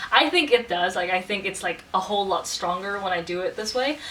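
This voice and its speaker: A woman at a fairly quick pace, against noticeable background noise. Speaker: vlogger. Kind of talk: casual vlog monologue. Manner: not soft or gentle.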